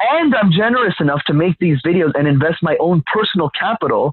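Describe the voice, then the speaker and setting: An animated voice with a Canadian accent, fairly quick in pace and lively in intonation. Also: man. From Canada, Montreal. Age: 20s. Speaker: public speaking coach. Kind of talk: casual interview.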